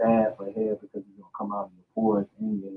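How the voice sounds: A man's voice moves through big pitch swings with vocal fry. It has a slightly husky edge.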